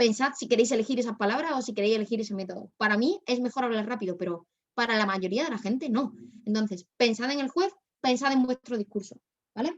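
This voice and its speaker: Talking at a very fast pace, a woman uses a fairly high pitch and ordinary pitch variation. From Spain, Málaga. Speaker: debate workshop instructor. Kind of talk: workshop lecture.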